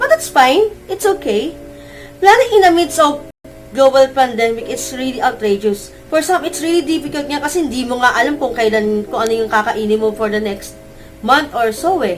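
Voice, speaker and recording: A woman's high voice carries lively intonation while noticeable background noise runs behind it. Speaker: teacher. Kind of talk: casual talk to camera. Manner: mumbling.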